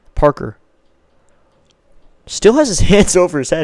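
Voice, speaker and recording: A man at a moderate pace. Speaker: baseball play-by-play streamer. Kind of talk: live commentary. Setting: live stream.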